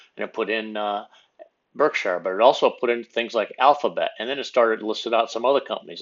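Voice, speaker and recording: A very fast-talking man at medium pitch, with ordinary pitch variation. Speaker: channel host, retiree explaining AI use. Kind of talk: screen-recorded tutorial. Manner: casual, conversational with fillers.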